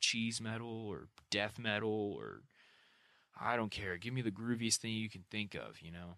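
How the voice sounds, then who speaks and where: In a very clean recording with a silent background, a man with a normal speaking voice talks at a moderate pace in a fairly low pitch. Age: 20s. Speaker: podcast host. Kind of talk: solo monologue. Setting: home room. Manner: casual, filler-heavy.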